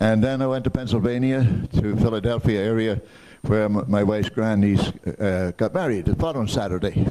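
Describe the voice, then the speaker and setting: A man speaks fairly quickly at a fairly low pitch with ordinary pitch variation. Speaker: Rotary club member. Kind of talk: casual club meeting remarks. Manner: halting.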